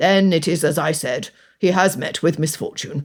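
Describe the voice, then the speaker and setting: This put-on character voice is raspy and sits at a middle pitch. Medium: read story. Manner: sneering, ridiculing.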